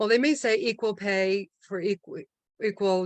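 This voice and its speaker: The woman has an ordinary speaking voice at a medium pitch with ordinary pitch variation. The sound is dry and close with no echo, over a quiet background. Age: 60s. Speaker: meeting host, toastmaster of the day. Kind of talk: club meeting speech. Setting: online video meeting.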